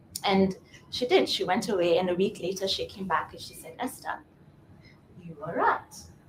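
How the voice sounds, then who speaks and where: The tone is calm, with fairly even intonation at a moderate pace. Long, frequent pauses and big swings in loudness come through over noticeable background noise. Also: woman, medium pitch for a woman. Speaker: speaker at a women's day event. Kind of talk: motivational talk.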